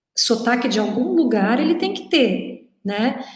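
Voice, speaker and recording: A woman's voice with audible room echo. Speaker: language teacher. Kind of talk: lecture.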